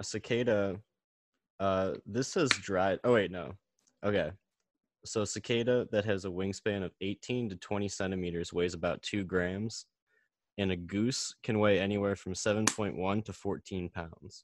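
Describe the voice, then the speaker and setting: A man with an American accent has an unremarkable speaking voice, fairly low in pitch with fairly even intonation. The sound is dry and close, with no echo. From Chicago. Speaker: podcast guest. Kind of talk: casual chat. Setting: video call.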